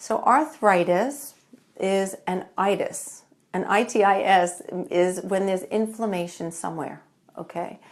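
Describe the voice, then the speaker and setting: A woman talks with lively intonation at a medium pitch. She has a New York accent. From New York, Long Island. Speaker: functional medicine doctor. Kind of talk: live-stream talk. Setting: Facebook live video.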